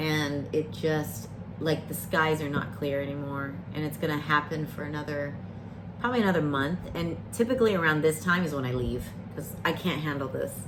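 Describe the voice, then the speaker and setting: Speech comes at a moderate pace with ordinary pitch variation. There is audible room echo and noticeable background noise. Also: woman. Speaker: variety streamer. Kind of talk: casual chat. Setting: live stream. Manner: rambling, hesitant with fillers.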